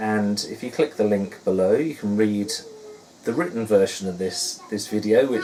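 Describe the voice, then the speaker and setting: In a Suffolk accent, the speaker goes at a fairly slow pace over noticeable background noise. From Suffolk, England.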